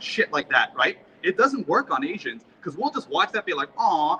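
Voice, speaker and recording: A man's fairly quick, animated speech, dry and close with no echo, over noticeable background noise. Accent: Korean. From South Korea-born, raised in US. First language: Korean. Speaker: rally speaker. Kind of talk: public speech at a rally.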